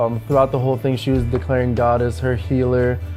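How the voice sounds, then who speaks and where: Over music in the background, a man with a medium pitch speaks with lively intonation. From New Jersey. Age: 20s. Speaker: ministry intern. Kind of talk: personal testimony interview.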